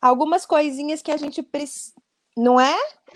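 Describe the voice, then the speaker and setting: Here a woman speaks at a high pitch. Her pitch variation is ordinary. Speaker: speech therapist. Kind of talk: educational interview.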